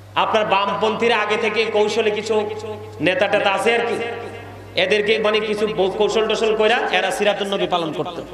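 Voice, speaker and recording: A man talks in a high register while background noise is clearly audible. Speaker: Islamic preacher giving a waz lecture. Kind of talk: waz religious sermon to an audience. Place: stage. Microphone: podium.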